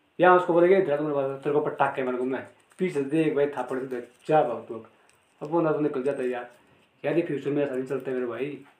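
There is audible room echo as a man talks at a moderate pace. His fairly high pitch shows ordinary variation. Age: 30s. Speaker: local villager discussing panchayat affairs. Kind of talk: casual chat.

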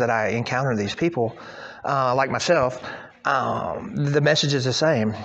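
Against noticeable background noise, a man talks in an American accent at medium pitch. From southwest Missouri (Joplin area). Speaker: addiction recovery advocate and author. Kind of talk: testimony.

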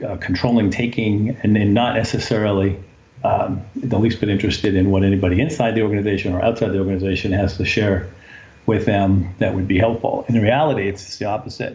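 Noticeable background noise runs under a man's very fast speech. His fairly low voice keeps a fairly even intonation. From New England. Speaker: business executive. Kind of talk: interview.

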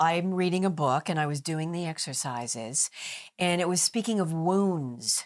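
A woman with an ordinary speaking voice and a fairly low pitch talks at a moderate pace with ordinary pitch variation, in a very clean recording with a silent background. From US Midwest. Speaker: actress, author and communication coach. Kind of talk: interview. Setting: studio. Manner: articulate.

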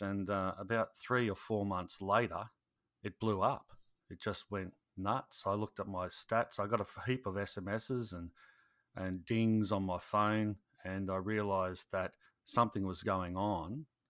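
Recorded very cleanly against a silent background, with a dry, close sound and no echo, a man speaks at a moderate pace with a fairly low pitch and fairly even intonation. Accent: Australian. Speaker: YouTube gardening creator, former soldier. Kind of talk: casual interview chat. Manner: halting, filler-heavy.

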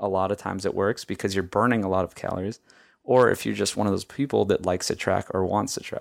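A man speaks very fast in a fairly low voice with vocal fry. His intonation is fairly even, and the recording is very clean with a silent background. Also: dry, close sound with no echo. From Hawaii. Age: 30s. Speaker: filmmaker and podcast host. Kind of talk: casual interview. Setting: in person.

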